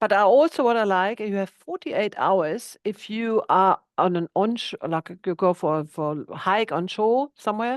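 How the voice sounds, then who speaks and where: Speaking at a medium pitch with a German accent, a woman keeps a moderate pace with hardly any pauses and lively intonation over a quiet background. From Germany, countryside. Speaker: boat insurance agent. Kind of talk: webinar presentation.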